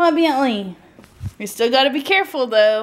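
A woman speaks at a high pitch and a moderate pace. Her voice moves in very wide pitch swings. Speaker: vlogger. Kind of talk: casual chat. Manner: animated. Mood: cheerful, relaxed. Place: home room. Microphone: phone near.

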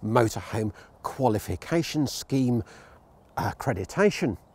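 With a dark, mellow tone, a man speaks in a somewhat breathy voice with lively intonation and a dry sound with no echo. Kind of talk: vehicle review presentation. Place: open country.

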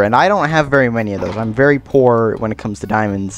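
A man's very fast speech over music in the background. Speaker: Minecraft let's play YouTuber. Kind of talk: casual gameplay commentary. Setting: home microphone, poor audio quality.

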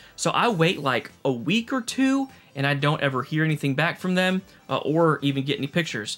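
Over faint music in the background, a man talks at a fairly quick pace. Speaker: toy collector youtuber. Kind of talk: casual vlog chat. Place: home room.

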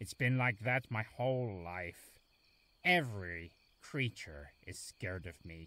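A cartoonish character voice, bright and sharp in tone, with lively intonation and a slow pace. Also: man, fairly low pitch for a man.

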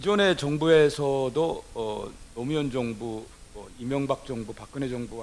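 The man's pitch sits fairly high, with ordinary variation. Light background noise runs underneath. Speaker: symposium moderator, professor. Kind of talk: panel discussion moderation. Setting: stage with audience. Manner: formal. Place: hall. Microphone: podium.

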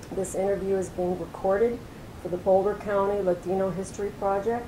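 A woman's monotone, flat delivery comes through noticeable background noise. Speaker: oral history interviewer. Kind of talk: interview questions.

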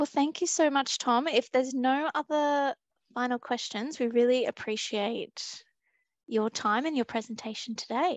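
Recorded dry with no echo against a quiet background, a woman talks at a moderate pace in a high pitch with ordinary pitch variation. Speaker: session moderator. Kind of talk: Q&A moderation. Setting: video call. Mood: friendly, smiling. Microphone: headset.

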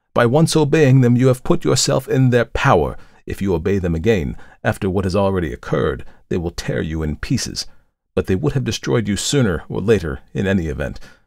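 Gravelly put-on character voice, fairly quick, with very wide pitch swings. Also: man, fairly low pitch for a man. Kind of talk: formal archaic speech. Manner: gentle, concerned, gravely warning.

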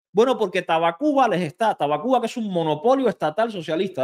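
At a fairly quick pace, a man speaks in an animated tone with very wide pitch swings. The background is quiet. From Cuba. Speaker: YouTuber and political commentator; YouTuber, political commentator. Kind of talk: reaction video commentary. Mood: indignant, sarcastic rebuttal. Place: studio. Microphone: studio mic.

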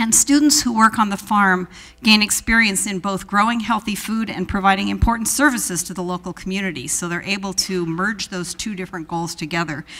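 A woman talks at a fairly quick pace with hardly any pauses and ordinary pitch variation. Her tone is bright and sharp. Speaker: event host introducing speaker. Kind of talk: speaker introduction. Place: hall. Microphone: handheld.

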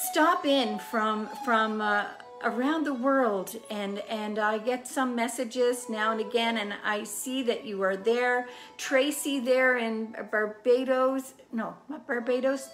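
Faint music plays in the background as a woman speaks very slowly in a high pitch. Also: ordinary pitch variation. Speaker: home cooking show host. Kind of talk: casual chat to viewers. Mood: warm and cheerful. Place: kitchen. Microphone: phone near.

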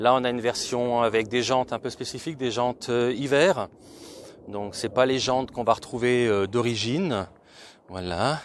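The pitch is medium for this man, with ordinary pitch variation. He delivers his words at a moderate pace. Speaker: car reviewer YouTuber. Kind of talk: car review vlog. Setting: at a car dealership and in a car. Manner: hesitant, many fillers.

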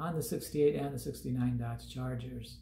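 A man is heard with audible room echo and light background noise. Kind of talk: casual vlog chat. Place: home room. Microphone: phone near.

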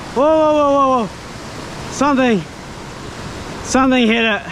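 A man speaks at an extremely high pitch with a fairly bright tone over faint background noise.

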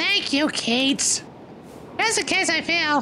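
A man uses a squeaky, put-on character voice. He speaks fairly slowly over clear background noise. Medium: game stream. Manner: curt, matter-of-fact.

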